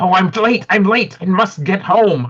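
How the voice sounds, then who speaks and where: In a put-on character voice, a man speaks with a high, creaky pitch. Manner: urgent, pleading.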